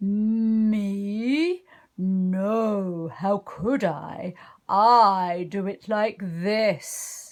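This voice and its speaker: Someone uses a put-on character voice at a very slow pace. The recording is very clean, with a silent background. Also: female-sounding voice, medium pitch for a woman. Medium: read story.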